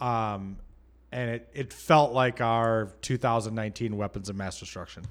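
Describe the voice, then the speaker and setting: A man with an American accent, medium pitch, fairly even intonation and a moderate pace, an ordinary speaking voice on a very clean recording with a silent background. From US Midwest, Michigan. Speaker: podcast co-host. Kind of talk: casual chat.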